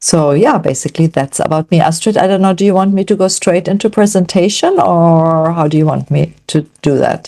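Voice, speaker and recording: Speaking at a fairly quick pace, a woman has a dark, mellow tone and a fairly low pitch. She talks with a German accent. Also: ordinary pitch variation. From Germany. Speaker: nutrition coach. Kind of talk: online event presentation.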